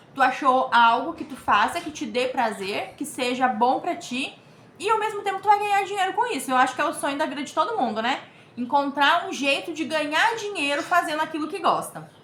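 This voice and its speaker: A woman talks at a fairly quick pace with a high pitch. Her pitch swings very widely over noticeable background noise. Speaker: crochet teacher / YouTuber. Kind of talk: tutorial. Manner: casual, chatty.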